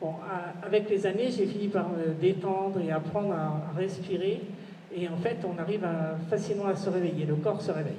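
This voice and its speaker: Recorded with audible room echo and noticeable background noise, a woman talks at a moderate pace with fairly even intonation. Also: medium pitch for a woman. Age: 60s. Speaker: conference speaker sharing abduction experience. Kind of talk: conference testimony. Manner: hesitant, many fillers.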